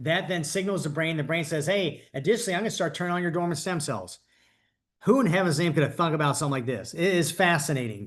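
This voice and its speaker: A man talks at a very fast pace with lively intonation and a fairly high pitch. The background is quiet. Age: 60s. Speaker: network marketing presenter. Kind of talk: sales pitch. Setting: video call. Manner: animated.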